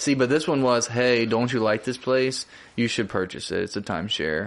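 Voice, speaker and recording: A normal speaking voice from a man, medium-pitched and moderately paced, with ordinary pitch variation. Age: 20s. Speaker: podcast co-host. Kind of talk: casual chat.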